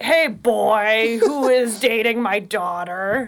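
A female-sounding, fairly high put-on character voice speaks at a very slow pace. Light background noise sits behind it. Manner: gruff.

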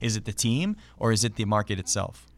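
Male voice with a Canadian accent, fairly low pitch and vocal fry, in a very clean recording with a silent background. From Canada (Ontario). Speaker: hockey and esports broadcaster. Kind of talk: casual interview. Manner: hesitant with many fillers.

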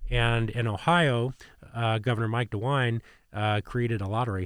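A man with an American accent and a normal speaking voice talks at a moderate pace and medium pitch, on a very clean recording with a silent background. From Indiana, US Midwest. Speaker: hospital president. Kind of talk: podcast interview. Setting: studio.

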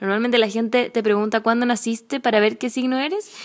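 Over noticeable background noise, a woman speaks at a fairly quick pace with a fairly high pitch and fairly even intonation. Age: 20s. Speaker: podcast co-host, healthy cooking creator. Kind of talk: casual chat.

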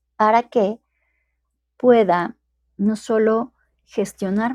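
A woman speaks very slowly with ordinary pitch variation. The sound is dry and close with no echo, and the recording is very clean against a silent background. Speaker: podcast host and coach. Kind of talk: live-streamed talk. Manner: hesitant, with repeated words.

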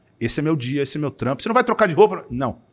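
An animated, fairly high-pitched man on a very clean recording with a silent background. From São Paulo, East Zone. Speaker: entrepreneur, events agency owner. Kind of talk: casual interview chat.

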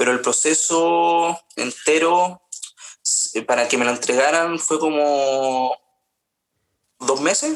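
A man with a Chilean accent speaks at a very slow pace with long, frequent pauses, very even loudness and fairly even intonation. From Chile, Paine (central Chile). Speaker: singer. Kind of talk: interview conversation.

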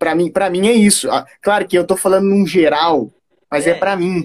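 At a fairly quick pace, a man with a high pitch speaks in a dry, close sound with no echo. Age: 20s. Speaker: podcast guest. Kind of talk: casual chat. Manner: serious.

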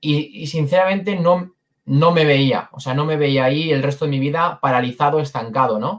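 An unremarkable speaking voice proceeds at a moderate pace with ordinary pitch variation. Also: man, fairly high pitch for a man. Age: 20s. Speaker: sales closer. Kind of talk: interview.

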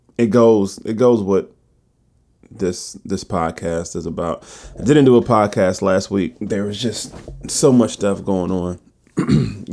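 A man's raspy, put-on character voice, fairly low in pitch with ordinary variation, at a fairly slow pace. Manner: very slow.

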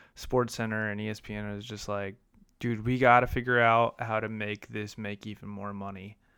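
A man with an American accent speaks at a moderate pace in a flat monotone, with a fairly low pitch and a bright, sharp tone. His loudness swings widely on a very clean recording with a silent background. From US Midwest, downstate Illinois. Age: 30s. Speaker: podcast host. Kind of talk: casual solo monologue.

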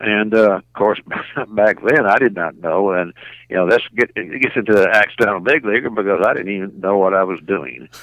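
Speaking in a Southern US accent, a man talks at a fairly quick pace with a fairly low pitch. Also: ordinary pitch variation. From Arkansas, Little Rock. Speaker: retired baseball player. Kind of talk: interview. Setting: phone call. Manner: halting.

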